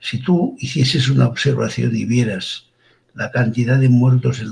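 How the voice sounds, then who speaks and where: A man's somewhat breathy, medium-pitched voice at a fairly slow pace, with ordinary pitch variation. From Catalonia, Girona province. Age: 70s. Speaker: forensic doctor. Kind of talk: interview. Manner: informal.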